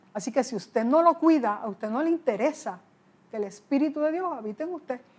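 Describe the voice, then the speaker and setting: Speaking very fast, a woman uses lively intonation at a high pitch. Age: 60s. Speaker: pastor. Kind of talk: interview. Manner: conversational.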